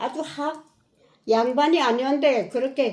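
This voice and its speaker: Her pitch is high and varies in an ordinary way. The woman speaks at a moderate pace. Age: 80s+. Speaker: elderly mother reviewing a book. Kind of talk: casual chat.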